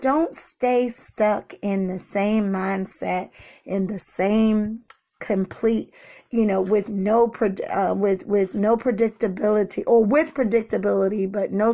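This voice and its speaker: At a fairly slow pace, a woman with a medium pitch speaks in a dark, mellow tone with fairly even intonation. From Washington, D.C. (inner city). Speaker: pastor, motivational podcaster. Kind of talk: motivational monologue.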